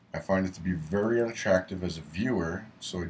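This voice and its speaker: A man with a very deep, low pitch speaks in a somewhat breathy way. His pace is fairly quick and his intonation fairly even. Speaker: student. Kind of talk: class presentation. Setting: webcam recording. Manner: sometimes monotone; read from prepared script.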